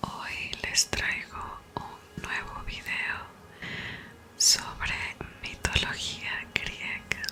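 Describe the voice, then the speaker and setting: Whispering at a very slow pace with long, frequent pauses, over noticeable background noise. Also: woman. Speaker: ASMR creator. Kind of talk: ASMR whispered reading. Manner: whispered.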